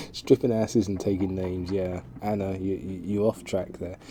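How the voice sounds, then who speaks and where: There is noticeable background noise behind this man with a British accent. He talks at a fairly quick pace. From Britain. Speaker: game streamer. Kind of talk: reading aloud gamebook text with casual stream chat. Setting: live stream. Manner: halting, stumbling. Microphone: bad audio levels.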